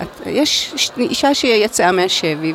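Over noticeable background noise, a woman at medium pitch talks with very wide pitch swings. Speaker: psychoanalyst and trauma expert. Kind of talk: interview. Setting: in a car. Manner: halting.

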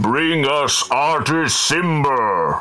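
A man puts on a character voice with a fairly high pitch, while faint music plays in the background. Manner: commanding.

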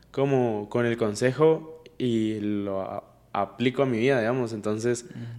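Over noticeable background noise, a man speaks at a medium pitch and a fairly slow pace with fairly even intonation. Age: 20s. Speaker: podcast host. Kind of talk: casual interview chat.

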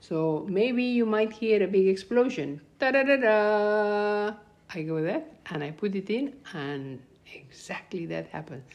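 A woman with a Spanish accent speaks at a fairly slow pace in a medium pitch, with very wide pitch swings and big swings in loudness. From Peru. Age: 70s. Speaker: grandmother telling her life story. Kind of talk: casual storytelling interview. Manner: halting with fillers and repetitions; laughs often.

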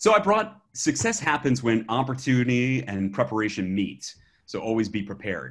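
Speaking in an American accent, a man with an ordinary speaking voice and medium pitch moves at a moderate pace with lively intonation. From Alabama, US South. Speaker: educator and app developer. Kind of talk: casual podcast interview.

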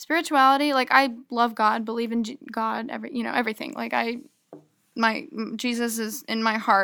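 On a very clean recording with a silent background, a woman with a high pitch and a bright, sharp tone speaks at a moderate pace. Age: 20s. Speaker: college student. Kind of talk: casual chat.

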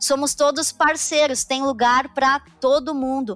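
In a dry, close sound with no echo, a woman speaks at a fairly slow pace and a high pitch. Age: 20s. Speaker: tax accounting manager. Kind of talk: casual chat.

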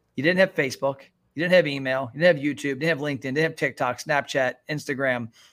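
Very fast delivery with fairly even intonation, on a very clean recording over a silent background. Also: man, fairly high pitch for a man. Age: 40s. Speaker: restaurant marketing consultant. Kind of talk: interview.

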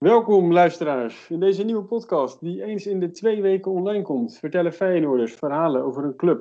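Here a man talks with a high pitch and lively intonation at a moderate pace. He hardly pauses at all. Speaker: podcast host. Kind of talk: casual interview.

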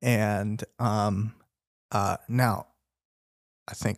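A man talks at a fairly low pitch, with a dry, close sound and no echo. The recording is very clean, the background silent. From US Midwest, Chicago suburbs (Indian-American). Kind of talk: casual faith discussion. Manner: hesitant, many fillers.

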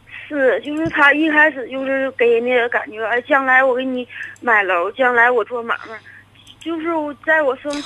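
High pitch from a woman, with noticeable background noise behind her. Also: ordinary pitch variation, moderate pace. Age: 30s. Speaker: caller. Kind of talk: phone-in confession. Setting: phone call.

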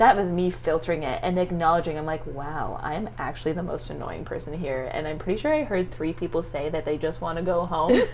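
A woman's fairly low voice at a fairly quick pace, hardly any pauses and ordinary pitch variation, with audible room echo and noticeable background noise. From Ontario, Canada (Stratford). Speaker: makeup and brow artist. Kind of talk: casual chat. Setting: her studio.

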